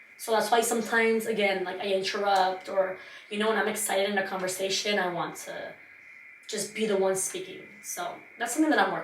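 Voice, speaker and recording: The speech comes at a very fast pace with big swings in loudness, set against audible room echo and noticeable background noise. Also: woman, medium pitch for a woman. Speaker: podcast host. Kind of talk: casual monologue. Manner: animated.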